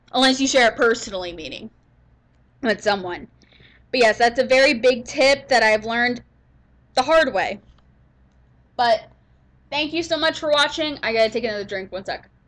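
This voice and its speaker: A woman speaks loudly at a moderate pace in a high voice, with lively intonation, long and frequent pauses, and a very clean recording over a silent background. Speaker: gaming YouTuber. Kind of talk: casual vlog outro.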